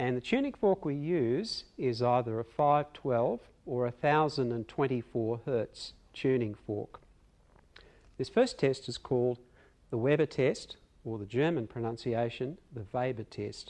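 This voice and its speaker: Speaking fairly slowly, a man uses a normal speaking voice at medium pitch with ordinary pitch variation. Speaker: clinical examiner demonstrating hearing assessment. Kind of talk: clinical teaching demonstration. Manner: calm, explanatory.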